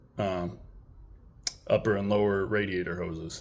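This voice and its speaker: A man speaks at a fairly slow pace in a fairly low, monotone voice with flat intonation. The room echo is audible. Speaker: vlogger building an off-road Jeep. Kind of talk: unscripted tutorial walkthrough. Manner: halting, with fillers and stutters.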